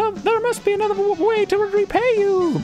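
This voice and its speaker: Over clear background noise, a squeaky, put-on character voice speaks at a moderate pace. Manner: frightened, pleading.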